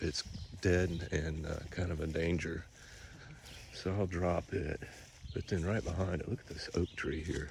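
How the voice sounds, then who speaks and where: A man with a very deep, low pitch speaks somewhat breathily at a fairly slow pace, with fairly even intonation and long, frequent pauses. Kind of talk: casual walkthrough narration to camera. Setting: outdoors.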